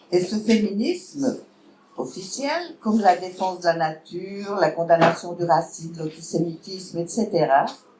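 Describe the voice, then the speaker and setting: A woman's fairly low-pitched voice with a Vaud accent, fairly slow pace and lively intonation. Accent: Swiss French (Vaud). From Switzerland, canton of Vaud. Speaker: political speaker, party member. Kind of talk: public lecture.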